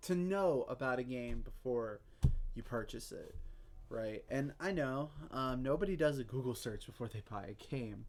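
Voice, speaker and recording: This is a man speaking at a medium pitch. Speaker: streamer. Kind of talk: casual chat. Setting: live stream. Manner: loud. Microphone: mic moved far away on desk.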